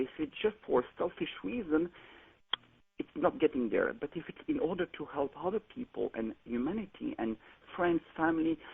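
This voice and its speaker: With a French accent, a man speaks at a moderate pace in a high voice that swings very widely in pitch. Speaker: caller. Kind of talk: call-in question.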